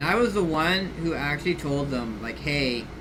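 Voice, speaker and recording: A man with a fairly high pitch and ordinary pitch variation is heard with audible room echo and noticeable background noise. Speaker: game streamer. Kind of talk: casual live stream commentary. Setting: live stream while gaming. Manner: rambling, halting with many fillers.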